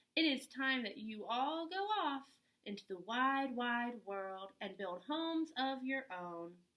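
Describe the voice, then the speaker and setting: A woman's put-on character voice, high in pitch and at a fairly slow pace. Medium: read story.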